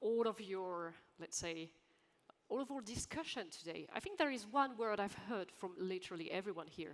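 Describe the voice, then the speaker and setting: At a moderate pace, a woman speaks at medium pitch with lively intonation. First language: French. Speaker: panel moderator. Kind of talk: panel discussion. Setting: conference stage with audience.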